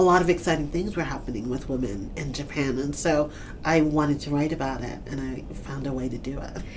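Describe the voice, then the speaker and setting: A woman with a New York accent speaks in a very deep, low pitch at a fairly quick pace. Her pitch varies in an ordinary way, and noticeable background noise can be heard. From Brooklyn, New York. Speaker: author and TV writer. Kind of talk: interview answer.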